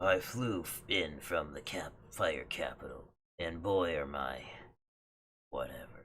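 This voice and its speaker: A raspy, low-pitched put-on character voice goes at a fairly slow pace with long, frequent pauses. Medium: game stream. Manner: curt, irritable.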